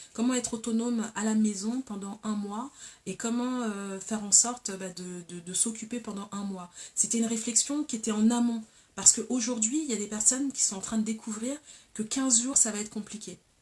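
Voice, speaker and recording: A woman with a fairly high pitch and a dark, mellow tone talks at a moderate pace, somewhat breathy, with big swings in loudness. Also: fairly even intonation. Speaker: talk show host. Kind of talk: casual live talk show.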